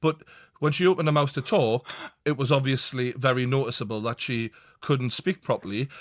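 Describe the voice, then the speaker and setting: Speaking at a fairly quick pace, a man sounds dry and close with no echo. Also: medium pitch for a man, ordinary pitch variation. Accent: Geordie. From northern England, Newcastle. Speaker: football podcast host. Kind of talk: casual chat. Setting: studio.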